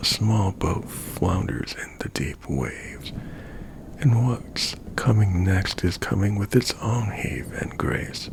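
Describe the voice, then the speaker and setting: A man whispers at a very slow pace. Background noise is noticeable. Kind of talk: poetry reading. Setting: studio, close microphone. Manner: slow, soft, half-whispered.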